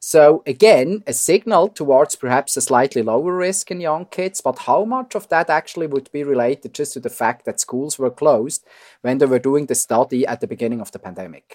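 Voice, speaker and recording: Someone with a Swiss accent speaks with lively intonation and hardly any pauses, in a dry, close sound with no echo on a very clean recording with a silent background. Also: man, fairly high pitch for a man, fairly quick pace, big swings in loudness. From Switzerland. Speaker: physician and epidemiology professor. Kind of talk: interview.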